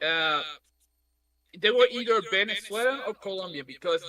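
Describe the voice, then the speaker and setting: A raised, projected voice with a Spanish accent. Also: man. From Puerto Rico. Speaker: anime podcast panelist. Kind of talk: casual chat.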